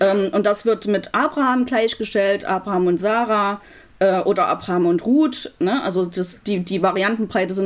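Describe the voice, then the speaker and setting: At a fairly slow pace, the voice shows ordinary pitch variation. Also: woman. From Germany, Leipzig (Saxony). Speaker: rabbi. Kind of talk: interview. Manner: hesitant, many fillers.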